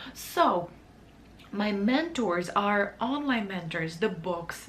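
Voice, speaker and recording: A woman's voice with a non-native accent and ordinary pitch variation, plus audible room echo. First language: not English. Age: 30s. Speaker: vlogger, wedding photographer. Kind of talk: casual vlog talk to camera. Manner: halting, self-correcting.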